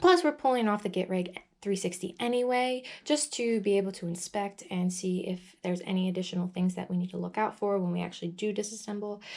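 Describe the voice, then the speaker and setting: A woman talks at a fairly quick pace in a medium pitch, with ordinary pitch variation. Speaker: vlogger doing DIY truck repair. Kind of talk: casual vlog tutorial. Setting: outdoors in a parking lot. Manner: fast; hesitant, many fillers.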